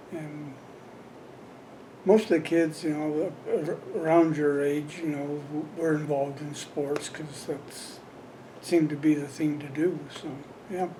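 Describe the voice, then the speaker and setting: Speaking with an American accent in a monotone, flat intonation, the voice leaves long, frequent pauses amid audible room echo and noticeable background noise. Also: man, fairly high pitch for a man. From Colorado, Windsor area. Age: 70s. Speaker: longtime local resident, former volunteer fireman. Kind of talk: oral history interview. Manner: halting, many fillers.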